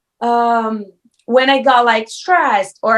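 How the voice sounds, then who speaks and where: A woman speaks in a Brazilian Portuguese accent with a fairly high pitch. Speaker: reality TV contestant. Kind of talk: interview. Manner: animated.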